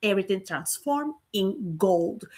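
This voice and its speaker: Heard on a very clean recording with a silent background, a woman with a Puerto Rican accent speaks at a fairly slow pace with lively intonation. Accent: Puerto Rican Spanish accent, noticeable. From Puerto Rico. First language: Spanish. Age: 50s. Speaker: business coach and real estate broker. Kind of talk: livestream motivational talk. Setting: livestream on camera. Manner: animated.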